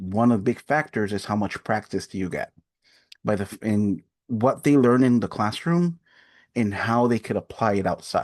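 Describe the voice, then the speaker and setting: A man at a medium pitch with a Spanish accent, moderate pace and ordinary pitch variation, dry and close with no echo against a quiet background. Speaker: adult education coordinator. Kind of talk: webinar presentation. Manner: halting, with pauses and fillers.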